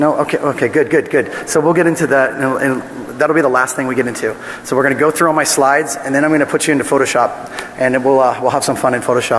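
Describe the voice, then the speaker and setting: A man's fairly high voice at a very fast pace, loudness very even, over noticeable background noise. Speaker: security researcher presenting a talk. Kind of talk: conference talk. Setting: stage with audience. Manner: animated.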